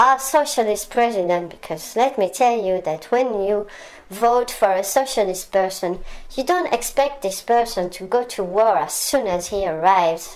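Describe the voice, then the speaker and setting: A woman talks with a French accent and lively intonation. Noticeable background noise runs behind her. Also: medium pitch for a woman, moderate pace. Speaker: political commentator. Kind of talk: monologue rant. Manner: hesitant with frequent fillers.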